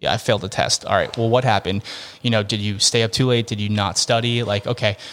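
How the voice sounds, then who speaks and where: In an American accent, a man talks very fast at a medium pitch with monotone, flat intonation. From Massachusetts, near Boston. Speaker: golf fitness trainer. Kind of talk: interview.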